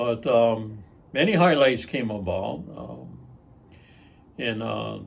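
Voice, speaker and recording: A man at a very slow pace, with long, frequent pauses and audible room echo. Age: 70s. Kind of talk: interview. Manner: hesitant, many filler words.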